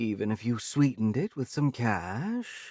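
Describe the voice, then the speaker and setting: A man does a put-on character voice at medium pitch and moderate pace, on a very clean recording with a silent background. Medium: read story. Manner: snarky, dismissive.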